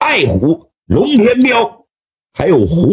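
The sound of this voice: An unforced reading voice comes over a quiet background.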